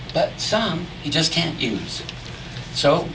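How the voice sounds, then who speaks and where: Noticeable noise runs in the background. Through it, a man's voice can be heard. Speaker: cowboy poetry performer. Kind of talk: poetry reading.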